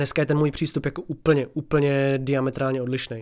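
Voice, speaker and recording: Fairly high for a man, the voice keeps a monotone, flat intonation at a moderate pace. The recording is very clean, with a silent background. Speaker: fitness podcast host. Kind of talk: solo casual monologue. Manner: halting, many fillers.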